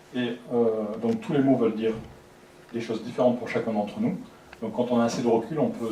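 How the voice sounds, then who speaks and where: A man's medium-pitched voice at a fairly quick pace, fairly even in intonation, with long, frequent pauses, audible room echo and noticeable background noise. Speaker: lecturer. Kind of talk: lecture. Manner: fast; soft-spoken.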